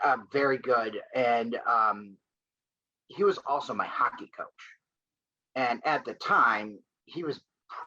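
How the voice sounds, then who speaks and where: With an American accent, a man speaks at a very slow pace, leaving long, frequent pauses. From US Midwest, Grosse Pointe, Michigan. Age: 40s. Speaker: lacrosse coach. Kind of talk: interview.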